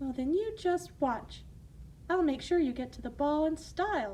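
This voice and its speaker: Against clear background noise, a woman uses a put-on character voice, high-pitched and warm in tone, at a moderate pace. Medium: read story. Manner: warm, motherly.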